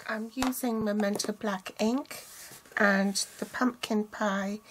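A woman speaks at a very slow pace with fairly even intonation. Light background noise sits behind her. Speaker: craft demonstrator. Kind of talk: tutorial.

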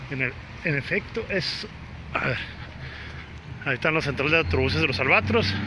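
Talking at a fairly quick pace with very wide pitch swings and long, frequent pauses, a man is heard in a dry recording with no echo but noticeable background noise. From Mexico, Sonora (Guaymas); Sonora, Mexico. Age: 30s. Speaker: actor and vlogger; actor, vlogger. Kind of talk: live-streamed walking vlog. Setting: outdoors on a city walk. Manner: casual, chatty. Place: street. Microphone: phone near.

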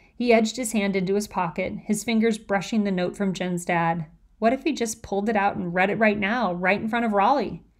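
This is a natural reading voice. It carries throughout the clip.

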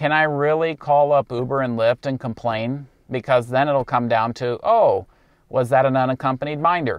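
Heard against a quiet background with a dry sound and no echo, the voice moves at a moderate pace with ordinary pitch variation. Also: man. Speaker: rideshare driver vlogger. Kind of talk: casual vlog advice. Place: car. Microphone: lapel.

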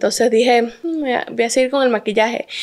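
A woman speaks with ordinary pitch variation. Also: quiet background. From Santa Cruz, Bolivia; raised in Orlando, Florida from age 7. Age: 20s. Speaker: plus-size model and influencer; influencer. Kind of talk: interview. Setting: at her home. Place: studio. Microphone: handheld.

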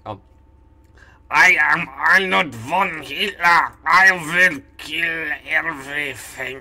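A man's put-on character voice, fairly high in pitch, with ordinary pitch variation, a very slow pace, big swings in loudness and long, frequent pauses. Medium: role play. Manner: menacing.

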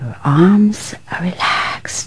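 A woman is whispering amid noticeable background noise. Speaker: relaxation guide. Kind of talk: guided relaxation. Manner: quiet, soft-spoken; slow.

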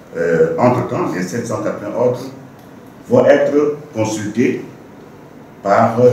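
A man talks at a very slow pace. Strong room echo and light background noise surround his voice. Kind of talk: press conference statement. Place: meeting room. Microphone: handheld.

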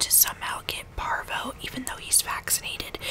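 A woman whispers in a soft-spoken way at a fairly slow pace. Noticeable background noise sits behind her. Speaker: video creator. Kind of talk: casual chit chat vlog, ASMR-like. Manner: soft ASMR whisper, close to the mic. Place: home room. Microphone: studio mic.

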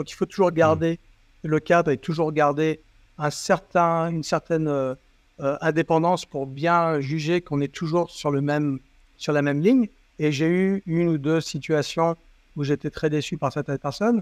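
Fairly high-pitched with fairly even intonation, a man's voice comes through as a dry sound with no echo. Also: moderate pace, quiet background. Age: 50s. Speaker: company CEO; guest. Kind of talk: interview. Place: home room. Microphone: earbuds.

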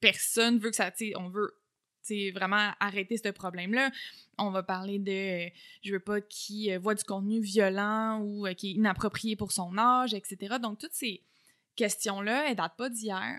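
In a Quebec accent, a woman speaks fairly slowly with a bright, sharp tone and fairly even intonation over a quiet background. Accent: Québécois French. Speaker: communication researcher and lecturer; lecturer. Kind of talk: casual interview. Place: home room. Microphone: studio mic.

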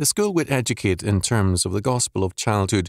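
In a plain, everyday voice, a man with fairly low pitch talks at a moderate pace with lively intonation, the sound dry and close with no echo on a very clean recording with a silent background. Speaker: audiobook narrator. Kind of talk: audiobook reading, scripted narration of an academic book. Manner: formal, measured, steady; even, lecture-like delivery.

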